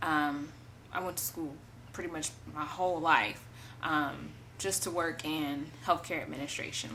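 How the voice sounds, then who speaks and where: A loud woman speaks at a very deep, low pitch amid audible room echo. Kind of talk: testimony. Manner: casual, hesitant with many fillers.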